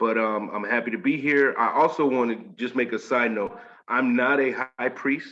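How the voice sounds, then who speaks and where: This man speaks with a slight Southern US accent and a bright, sharp tone. His pitch variation is ordinary. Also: medium pitch for a man, quiet background. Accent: slight Southern drawl. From Washington State, US. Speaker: spiritual initiate. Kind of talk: interview.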